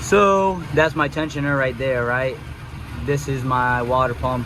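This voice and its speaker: A man speaks at a medium pitch and a moderate pace, with noticeable background noise and audible room echo. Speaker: car enthusiast vlogger. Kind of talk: casual vlog narration. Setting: garage workshop. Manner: low energy, quiet.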